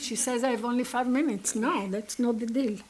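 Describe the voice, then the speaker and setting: A woman with an Israeli accent speaks at a high pitch. Noticeable background noise runs behind her. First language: Hebrew. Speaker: conference lecturer. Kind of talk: lecture.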